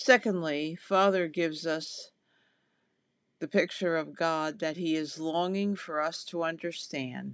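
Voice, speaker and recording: A woman with a plain, everyday voice speaks at a fairly slow pace and with fairly even intonation. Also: fairly low pitch for a woman, very clean recording, silent background. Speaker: devotional host. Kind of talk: short devotional reading with scripture and prayer.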